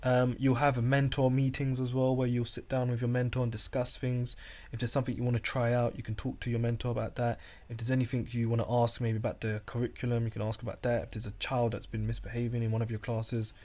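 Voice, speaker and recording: Very fast and monotone, a man speaks at a medium pitch with a dark, mellow tone and a somewhat breathy quality on a very clean recording with a silent background. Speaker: teacher, podcast co-host. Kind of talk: casual chat. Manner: calm.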